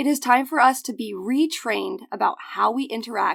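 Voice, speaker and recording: A woman speaks with vocal fry and ordinary pitch variation. The recording is very clean and the background silent. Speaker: podcast host. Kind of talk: interview.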